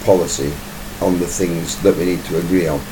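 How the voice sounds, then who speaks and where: A man with a British accent and a very deep, low pitch, amid noticeable background noise and audible room echo. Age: 60s. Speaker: YouTuber giving commentary. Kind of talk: monologue commentary video. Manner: casual, conversational.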